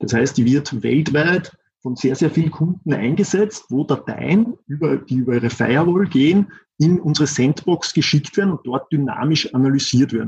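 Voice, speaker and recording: A man talks with an Austrian accent and lively intonation. His voice is somewhat breathy and fairly high in pitch. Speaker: systems engineer. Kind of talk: interview. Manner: halting.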